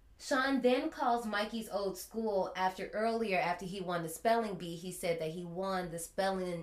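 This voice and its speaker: A woman's medium-pitched voice with an American accent, ordinary pitch variation and a moderate pace, amid noticeable background noise and audible room echo. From US Midwest (Gary, Indiana). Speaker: podcast host, horror movie reviewer. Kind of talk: casual chat.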